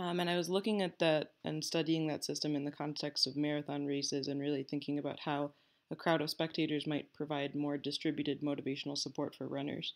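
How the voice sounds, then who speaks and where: Over a quiet background, a woman rattles along at a very fast pace in a very deep, low pitch with monotone, flat intonation. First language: Malayalam. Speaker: graduate researcher. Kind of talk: research presentation. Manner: hesitant with many fillers.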